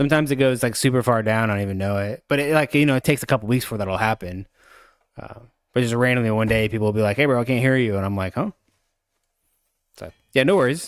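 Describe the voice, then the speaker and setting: Mumbling at a very fast pace, a man uses ordinary pitch variation and leaves long, frequent pauses. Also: medium pitch for a man. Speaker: gaming streamer. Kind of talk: live stream gameplay guide.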